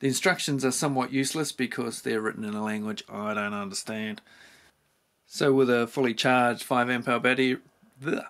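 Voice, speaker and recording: Speaking at a fairly quick pace with a New Zealand accent, the man has a medium pitch and ordinary pitch variation. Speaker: tool reviewer. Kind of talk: product review. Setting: home garage. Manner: casual.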